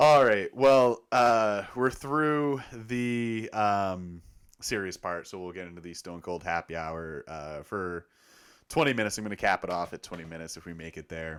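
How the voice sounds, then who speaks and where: Recorded very cleanly against a silent background, a man with a fairly low pitch talks at a moderate pace, his intonation lively and his loudness swinging widely. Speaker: sports podcast host. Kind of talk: casual chat.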